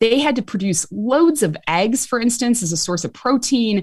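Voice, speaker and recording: In a strong Chicago accent, a somewhat breathy woman talks at a fairly quick pace with very wide pitch swings, on a very clean recording with a silent background. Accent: Chicago accent, still strong. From US Midwest, Chicago. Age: 40s. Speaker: author and medical historian. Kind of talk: interview.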